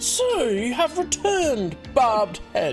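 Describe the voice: Clear music plays in the background. A put-on character voice with a fairly high pitch moves at a fairly slow pace.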